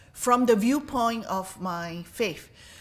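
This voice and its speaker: Speaking very slowly with a Chinese accent, a woman uses a fairly high pitch and a bright, sharp tone. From Singapore. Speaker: professor, conference speaker. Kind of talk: conference talk. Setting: interfaith conference with audience.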